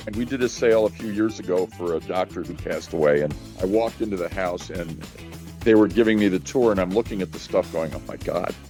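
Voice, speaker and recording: Over music in the background, a man with an American accent talks at a very fast pace in a very deep, low voice. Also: ordinary pitch variation. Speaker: auctioneer and estate sale liquidator. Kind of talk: interview answer. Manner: conversational, talkative.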